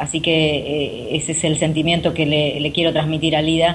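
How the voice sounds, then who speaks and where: Against noticeable background noise, a woman speaks at a moderate pace. Her pitch is very deep and low. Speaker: radio co-host. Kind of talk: radio interview.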